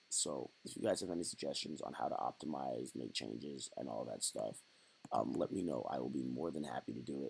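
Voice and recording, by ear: Speaking fairly quickly, a man uses a put-on character voice that is raspy and very deep and low.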